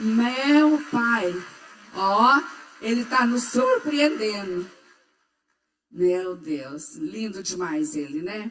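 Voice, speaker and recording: A woman's fairly high voice at a very slow pace, with long, frequent pauses and very wide pitch swings. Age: 80s+. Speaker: pastor's mother giving a testimony. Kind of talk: testimony.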